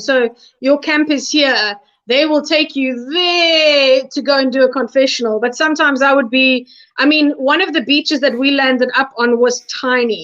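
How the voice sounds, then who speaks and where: A woman speaks loudly at a high pitch. Her pace is moderate and her pitch varies in an ordinary way. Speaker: reality show contestant. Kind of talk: casual chat.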